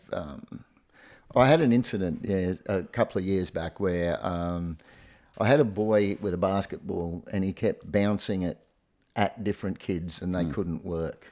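Very deep, low male voice with an Australian accent, at a fairly slow pace, in a very clean recording against a silent background. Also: ordinary pitch variation. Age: 60s. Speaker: retired primary school teacher. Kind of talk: casual chat.

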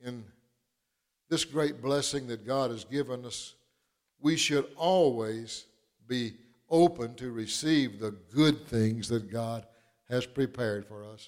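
Speaking at a very slow pace, a man with an Arkansas accent keeps a medium pitch and ordinary pitch variation. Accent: southern US (Arkansas). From southern Arkansas. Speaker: preacher. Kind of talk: sermon.

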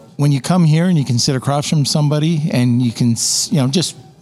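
Music sits in the background as a man talks at a moderate pace with ordinary pitch variation. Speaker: Amazon seller guest. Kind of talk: casual interview chat. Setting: in person at event.

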